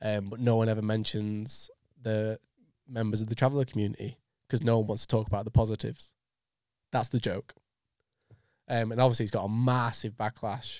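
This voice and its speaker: On a very clean recording with a silent background, a man speaks with a Lancashire accent. His medium-pitched voice keeps fairly even intonation at a fairly quick pace. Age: 20s. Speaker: podcast host. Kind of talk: casual chat. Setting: studio.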